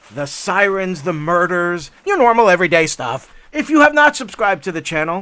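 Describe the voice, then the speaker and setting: Raising and projecting his voice, a man speaks at a high pitch in a bright, sharp tone with very wide pitch swings. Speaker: hiking vlogger. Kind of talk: casual vlog narration. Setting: outdoors on a hiking trail.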